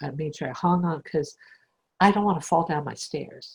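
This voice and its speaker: Somewhat breathy, this woman's voice sits at a fairly low pitch and shows ordinary pitch variation. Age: 60s. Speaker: spiritual teacher. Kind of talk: casual chat.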